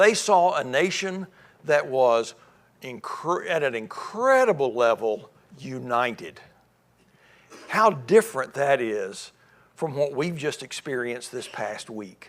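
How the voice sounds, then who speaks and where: A man with a Tennessee accent speaks very slowly with long, frequent pauses. His fairly high voice moves through very wide pitch swings. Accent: Southern US (Tennessee). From US South (Memphis, Tennessee). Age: 60s. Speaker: church speaker. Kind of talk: lecture.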